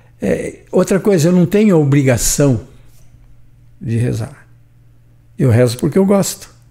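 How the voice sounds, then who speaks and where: With a dark, mellow tone and a somewhat breathy quality, this voice moves at a fairly slow pace through very wide pitch swings and long, frequent pauses. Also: man. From São Paulo state, Brazil. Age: 80s+. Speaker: retired shop owner. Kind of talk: podcast interview. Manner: animated.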